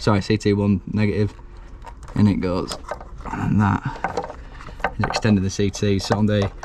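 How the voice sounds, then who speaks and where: With a Yorkshire accent, a man speaks in a fairly low, monotone, flat voice at a fairly slow pace, leaving long, frequent pauses over noticeable background noise. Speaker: electrician. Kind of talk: on-the-job tutorial vlog. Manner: casual, chatty; quiet.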